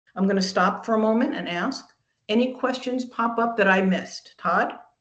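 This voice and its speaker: Audible room echo surrounds a woman speaking at a moderate pace. Her pitch is fairly high, with ordinary variation. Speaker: franchising presenter. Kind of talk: webinar presentation. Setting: video call webinar.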